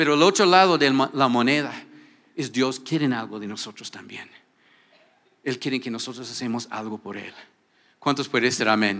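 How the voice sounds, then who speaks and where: A bright, sharp tone carries ordinary pitch variation, big swings in loudness and long, frequent pauses. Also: man, medium pitch for a man, moderate pace. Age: 60s. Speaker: pastor. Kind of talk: sermon. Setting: church. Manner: animated. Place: church. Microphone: handheld.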